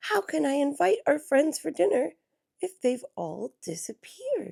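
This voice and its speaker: A woman puts on a character voice with a high pitch. She moves at a moderate pace. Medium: read story.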